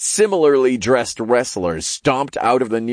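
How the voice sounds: Natural-sounding reading aloud.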